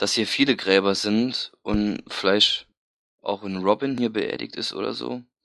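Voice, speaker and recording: A man speaks at a fairly low pitch and fairly slow pace, his tone bright and sharp with fairly even intonation. The sound is dry and close with no echo, over a quiet background. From Saarland, near Saarbrücken. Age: 20s. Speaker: fan forum member, podcast guest. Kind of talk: casual chat.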